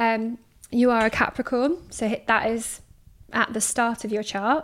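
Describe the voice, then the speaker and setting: In a very clean recording with a silent background, a woman uses a normal speaking voice, fairly high in pitch, at a moderate pace with fairly even intonation. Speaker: astrologer. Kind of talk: casual chat.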